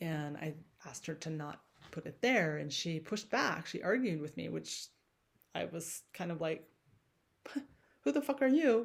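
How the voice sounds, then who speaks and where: Soft-spoken and at a fairly low pitch, a woman talks at a moderate pace with vocal fry. Her pitch swings very widely, and she leaves long, frequent pauses. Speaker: movement class teacher. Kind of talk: personal reflection monologue. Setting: home, dining room. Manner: soft, expressive; halting, many fillers.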